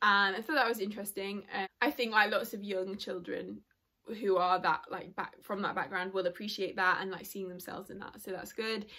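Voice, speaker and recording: A woman speaks at a medium pitch and a fairly quick pace. Her intonation is fairly even, while her loudness swings widely. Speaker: book reviewer. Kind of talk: casual book review vlog. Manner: fast.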